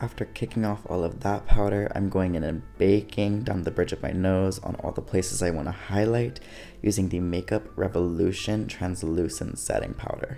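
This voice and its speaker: A soft-spoken man with a very deep, low pitch, a dark, mellow, soothing tone, and a moderate pace. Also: ordinary pitch variation. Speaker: drag performer. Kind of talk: makeup tutorial voice-over. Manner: soft-spoken, soothing.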